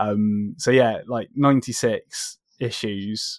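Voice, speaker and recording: The recording is very clean with a silent background and a dry, close sound with no echo, as a medium-pitched man speaks in a southern English accent. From southern England. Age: 30s. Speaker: comic book writer. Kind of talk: casual interview. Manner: halting.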